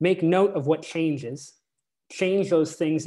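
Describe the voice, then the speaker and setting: Speech moves at a moderate pace. The speaker has a Canadian accent. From Canada. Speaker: community manager and speaker on time management. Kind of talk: presentation. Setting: video call. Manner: casual with many filler words.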